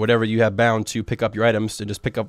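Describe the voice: A nasal, monotone voice with flat intonation at a very fast pace. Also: man.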